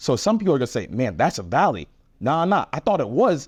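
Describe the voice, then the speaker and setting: With vocal fry and very wide pitch swings, a man talks at a very fast pace, the sound dry and close with no echo over a quiet background. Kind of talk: casual chat. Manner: halting, repeats words.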